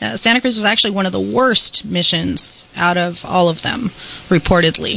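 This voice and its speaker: Noticeable background noise runs under the clip. A woman with medium pitch talks at a moderate pace. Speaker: ghost tour guide. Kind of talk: radio interview answer.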